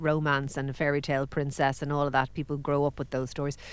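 A woman with an Irish accent at a fairly quick pace. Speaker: podcast host. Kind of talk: casual chat. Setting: studio.

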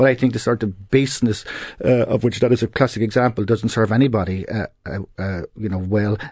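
Against a quiet background, a man with a Cork accent talks at a fairly quick pace and medium pitch, with ordinary pitch variation. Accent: Cork Irish. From Ireland, Cork City. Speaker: politics professor. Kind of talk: panel discussion on radio. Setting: radio studio.

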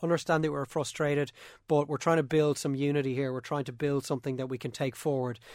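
In an Irish accent, a man talks very fast at a fairly high pitch with monotone, flat intonation, on a very clean recording with a silent background. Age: 30s. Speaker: sports podcast host. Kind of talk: casual sports discussion podcast.

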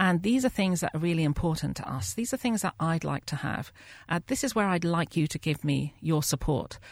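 A woman with a fairly low pitch talks at a fairly quick pace with vocal fry. The sound is dry and close with no echo. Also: lively intonation. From UK. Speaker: maternity advocacy group chair. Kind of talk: studio discussion. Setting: studio.

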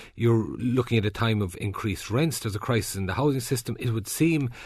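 Against a quiet background, a man with an Irish accent talks very fast at a medium pitch, somewhat breathy, with ordinary pitch variation. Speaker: radio presenter. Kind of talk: newspaper review; panel discussion.

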